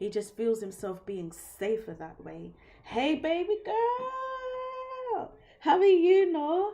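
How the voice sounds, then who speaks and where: With a British accent, a woman speaks in very wide pitch swings. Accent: British accent, remarked on by viewer. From London, England. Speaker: tarot reader. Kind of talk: live-stream tarot reading. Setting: live stream. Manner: casual, conversational.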